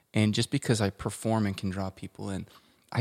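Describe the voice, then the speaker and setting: A man with an American accent talks at a moderate pace and a fairly low pitch. His voice has vocal fry, with a dry, close sound with no echo. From Colorado, US. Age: 30s. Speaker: musician and producer. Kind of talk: casual interview chat.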